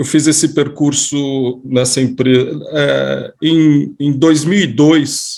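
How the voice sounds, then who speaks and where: Speaking at a very slow pace with hardly any pauses, a man keeps his fairly high voice in fairly even intonation. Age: 50s. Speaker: economist. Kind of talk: casual chat. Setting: video call.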